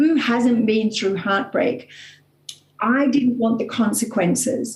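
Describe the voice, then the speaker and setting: At a very slow pace, a woman with an Australian accent speaks at a fairly high pitch, with fairly even intonation and very even loudness. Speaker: author and coach. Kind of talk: motivational talk.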